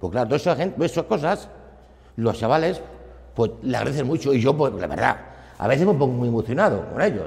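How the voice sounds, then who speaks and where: A man at a very fast pace, with lively intonation and long, frequent pauses. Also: medium pitch for a man. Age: 60s. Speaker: football club volunteer. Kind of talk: interview. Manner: halting.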